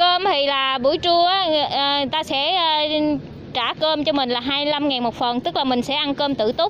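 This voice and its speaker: A woman speaks at a moderate pace in a high voice, the sound dry with no echo and light background noise behind her. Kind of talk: briefing to job applicants. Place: street.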